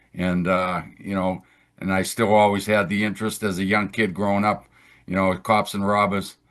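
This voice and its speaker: A man's fairly low, monotone, flat voice in a Boston accent, over a quiet background. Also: moderate pace. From Boston, Massachusetts. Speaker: retired federal agent. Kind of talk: interview. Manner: halting, many repeated words.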